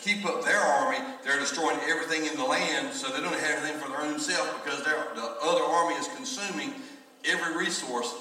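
Audible room echo surrounds a man whose pitch swings very widely. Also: fairly quick pace. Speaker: pastor. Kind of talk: sermon. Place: church.

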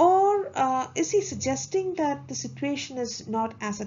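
Her pitch swings very widely as the woman talks at a moderate pace. Her voice is somewhat breathy. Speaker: video lecturer. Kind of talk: lecture. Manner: formal; measured.

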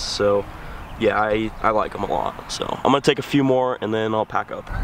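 A man's voice comes through dry with no echo, over light background noise. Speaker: vlogger. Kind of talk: casual vlog chat. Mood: relaxed, admiring. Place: waterside. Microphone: phone near.

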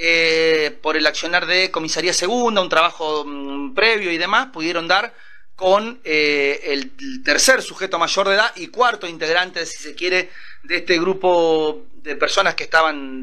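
A man talks at a moderate pace in a high voice. His pitch varies an ordinary amount. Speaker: prosecutor. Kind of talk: interview. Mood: calm, matter-of-fact. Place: office. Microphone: handheld.

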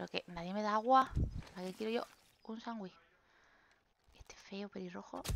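A woman's animated tone, with big swings in loudness and long, frequent pauses. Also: moderate pace. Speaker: gaming youtuber. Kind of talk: gameplay commentary.

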